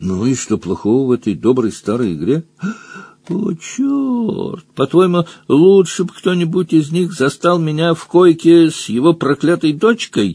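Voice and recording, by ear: Using a put-on character voice, a man speaks fairly slowly at a fairly high pitch, with lively intonation, a slightly mellow tone and a slightly husky edge.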